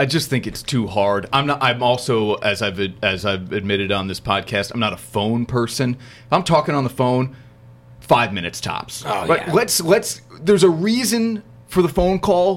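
Music plays behind a man speaking at a moderate pace. His medium-pitched voice moves through very wide pitch swings. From New Jersey. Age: 30s. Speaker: podcast host. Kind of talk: casual chat.

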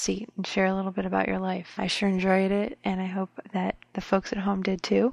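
A woman has an unremarkable speaking voice of medium pitch with fairly even intonation. She talks at a moderate pace against a quiet background. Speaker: craft podcast host. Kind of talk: scripted intro.

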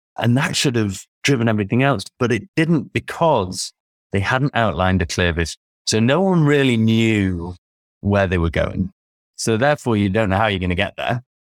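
A man's medium-pitched voice in a British accent, with lively intonation, very even loudness and a moderate pace, dry and close with no echo on a very clean recording with a silent background. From United Kingdom. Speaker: sports performance consultant. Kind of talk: interview.

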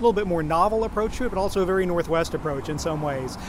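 A man's fairly high voice with an American accent, very fast pace and ordinary pitch variation, plus audible room echo and noticeable background noise. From Oklahoma, rural. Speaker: magazine editor. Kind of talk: casual interview.

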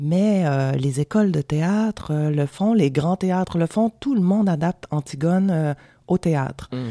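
Her tone dark and mellow, a woman speaks at a fairly low pitch and fairly slow pace with lively intonation and very even loudness. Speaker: film director. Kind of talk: radio interview. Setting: radio studio.

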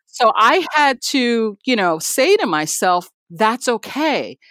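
On a very clean recording with a silent background and a dry, close sound with no echo, a woman speaks at a fairly high pitch with vocal fry. Her pitch swings very widely. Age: 50s. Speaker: TV news producer. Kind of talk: interview.

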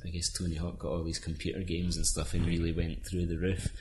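A man speaks with a very deep, low pitch and a somewhat breathy quality. His intonation stays fairly even. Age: 30s. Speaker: illustrator. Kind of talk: casual chat.

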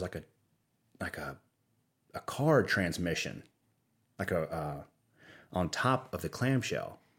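In a very clean recording with a silent background, a man with a Louisiana accent talks at a fairly slow pace with lively intonation. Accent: Southern US (Louisiana). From Louisiana, US South. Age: 40s. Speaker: creative officer at a video company. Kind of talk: casual interview chat. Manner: rambling, with many false starts.

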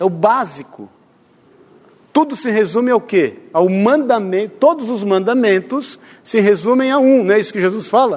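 A man speaks at a moderate pace in a high voice. His intonation is lively. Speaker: preacher. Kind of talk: sermon. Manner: animated.

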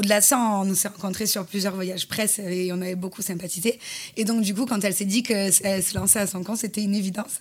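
Somewhat breathy, a woman speaks very fast in a monotone, flat delivery. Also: medium pitch for a woman. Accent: slight southern French. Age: 30s. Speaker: influencer and former reality TV contestant. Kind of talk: interview.

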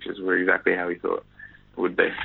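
The speaker is a man. He has a New Zealand accent. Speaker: professional footballer. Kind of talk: interview.

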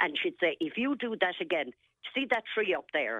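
A woman with an Irish accent at a moderate pace, her pitch swinging very widely. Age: 70s. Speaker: caller. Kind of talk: radio phone-in.

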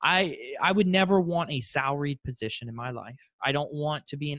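A plain, everyday voice belongs to a man with an American accent, fairly high in pitch and lively in intonation. He talks at a fairly quick pace, and the sound is dry and close with no echo. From South Florida, Fort Lauderdale. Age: young. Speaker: real estate investor. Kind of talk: interview.

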